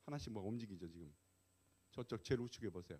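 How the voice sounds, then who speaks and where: A man's voice, fairly low in pitch. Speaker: pastor and guest lecturer. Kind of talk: lecture. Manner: hesitant with fillers.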